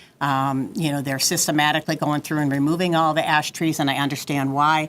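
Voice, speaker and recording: Her voice is very deep and low. The woman's delivery stays flat and monotone. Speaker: resident speaking at public hearing. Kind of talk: public comment at council hearing. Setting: city council chamber. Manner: fast; halting, many fillers.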